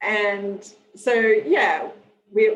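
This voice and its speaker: Speaking in an Australian accent, a woman with a fairly high pitch uses lively intonation. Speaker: nonprofit president and webinar moderator. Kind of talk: webinar introduction. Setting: video call. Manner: hesitant, many fillers.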